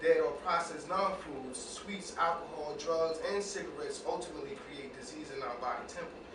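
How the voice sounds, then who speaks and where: Noticeable background noise sits under this recording. A man speaks over it at a fairly quick pace. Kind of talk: reading aloud from a book.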